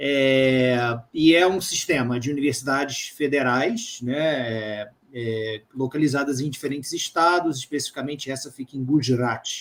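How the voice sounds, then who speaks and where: A man with a Brazilian accent talks at a fairly quick pace. His voice is medium in pitch with ordinary variation. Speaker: live stream host and interpreter. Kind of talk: interpreting.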